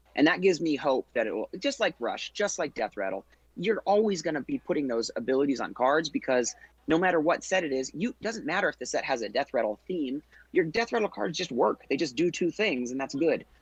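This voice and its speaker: A man speaks with vocal fry and very wide pitch swings, recorded with a dry, close sound that has no echo. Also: fairly high pitch for a man, fairly quick pace. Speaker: podcast co-host, card game player. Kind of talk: casual podcast discussion. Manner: fast.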